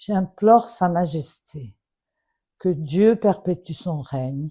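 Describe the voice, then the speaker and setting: At a very slow pace, a woman with a fairly low pitch and a dark, mellow tone speaks with lively intonation and a somewhat breathy sound. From Morocco. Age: 70s. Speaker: daughter of a late official. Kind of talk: public appeal. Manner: formal.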